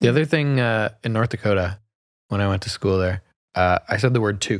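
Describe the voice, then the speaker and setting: A man with a Canadian accent, a normal speaking voice at fairly low pitch, ordinary pitch variation and a fairly quick pace, on a very clean recording with a silent background. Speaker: real estate podcast co-host. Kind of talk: casual chat.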